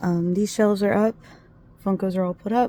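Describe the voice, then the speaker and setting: At a moderate pace, a woman talks in a medium pitch with a dark, mellow tone that is somewhat breathy. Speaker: crafting vlogger. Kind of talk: casual vlog talk. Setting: home sewing area.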